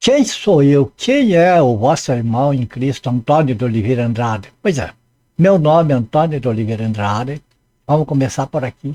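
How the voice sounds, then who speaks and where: A man at a medium pitch talks at a moderate pace with lively intonation and a dark, mellow tone. The sound is dry and close with no echo, over a quiet background. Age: 70s. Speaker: Bible teacher. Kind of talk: testimony.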